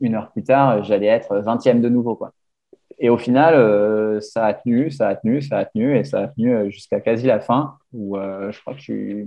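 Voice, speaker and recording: With ordinary pitch variation and a medium pitch, a man speaks at a moderate pace. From grew up abroad, mostly outside France. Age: 20s. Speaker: ultra-endurance cyclist. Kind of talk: casual chat. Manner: halting, many hesitations.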